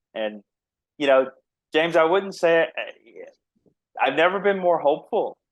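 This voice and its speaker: With a slight Texas accent, a man with a high-pitched voice speaks at a moderate pace with ordinary pitch variation and long, frequent pauses. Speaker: biotech company founder and CEO. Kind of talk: podcast interview.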